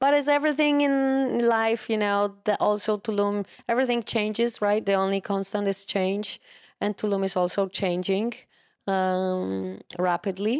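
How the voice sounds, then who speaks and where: In a Polish accent, a woman speaks at a moderate pace and medium pitch with ordinary pitch variation. Her loudness is very even on a very clean recording with a silent background. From Poland. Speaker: wellness coach. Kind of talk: interview.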